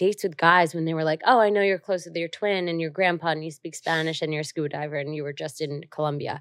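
Speaking at a very fast pace in a New Jersey accent, a woman uses a fairly low pitch with ordinary pitch variation, captured in a very clean recording with a silent background. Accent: New Jersey American. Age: 20s. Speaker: entrepreneur. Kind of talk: casual chat.

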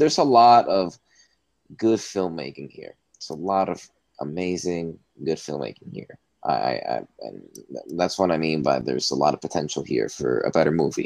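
A man with a very deep, low voice speaks at a moderate pace with vocal fry. His intonation is lively and his loudness swings widely. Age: 20s. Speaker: podcast co-host, student. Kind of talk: casual chat.

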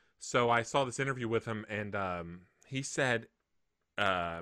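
A man's medium-pitched voice with a Southern US accent, bright and sharp in tone, dry and close with no echo, on a very clean recording over a silent background. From Mississippi. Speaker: podcast co-host. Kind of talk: casual chat.

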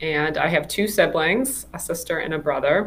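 A woman with a plain, everyday voice, fairly low in pitch, speaks at a moderate pace in an American accent. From Chicago suburbs, US Midwest. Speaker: engineering professor. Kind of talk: interview.

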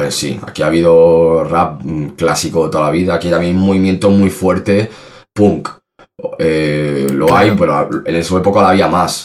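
Fairly even intonation and a moderate pace from a man with a very deep, low pitch. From Spain, Salamanca. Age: 30s. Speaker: rapper. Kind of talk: casual interview.

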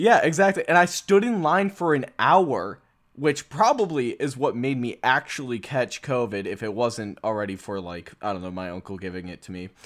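A man with an American accent speaks at a medium pitch, swinging very widely in pitch and heavily in loudness. The recording is very clean, with a silent background. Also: moderate pace, hardly any pauses. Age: 20s. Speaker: podcast host. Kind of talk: casual chat.

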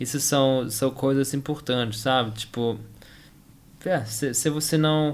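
Speaking in a German accent, a man with a medium pitch goes at a very slow pace, with long, frequent pauses. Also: fairly even intonation, very even loudness. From Germany. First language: German (speaking Portuguese). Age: 20s. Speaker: tennis player and engineer. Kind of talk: interview. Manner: halting, many repetitions and fillers.

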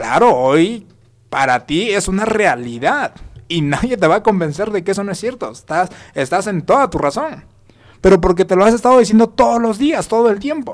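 At a moderate pace, a man talks in a high voice. His pitch swings very widely. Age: 20s. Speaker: motivational speaker. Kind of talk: motivational talk.

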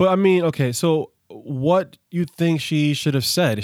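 A man speaks with an American accent and ordinary pitch variation. The very clean recording has a silent background and a dry, close sound with no echo. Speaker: podcast host. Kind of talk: casual chat.

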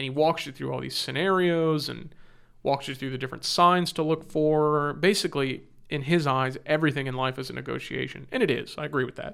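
Fairly quick speech with a Californian accent in a very clean recording with a silent background. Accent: Californian American. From Southern California (Orange County). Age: 30s. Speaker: software company business development executive. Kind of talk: interview conversation. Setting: studio.

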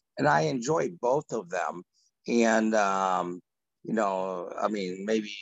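A man's normal speaking voice, medium in pitch, with lively intonation. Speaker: group participant. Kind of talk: casual discussion.

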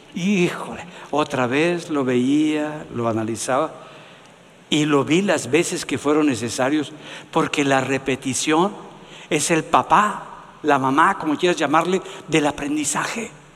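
A man's fairly high voice with ordinary pitch variation, very slow pace and noticeable background noise. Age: 70s. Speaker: pastor. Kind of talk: sermon.

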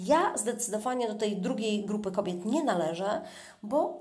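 Amid noticeable background noise and audible room echo, a woman talks at a moderate pace with a fairly high pitch. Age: 40s. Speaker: podcaster. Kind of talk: casual monologue. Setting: in a bathtub at home.

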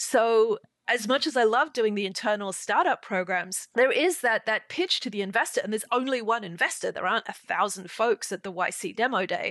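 Speaking in an Australian accent, a woman goes at a fairly quick pace with hardly any pauses, lively intonation and a fairly high pitch. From Sydney, Australia. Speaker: podcast host. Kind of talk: casual interview. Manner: laughs often.

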